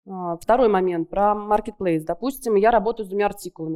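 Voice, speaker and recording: This woman has a dark, mellow tone. She keeps to a moderate pace. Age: 40s. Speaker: furniture business owner. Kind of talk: business consultation on stage.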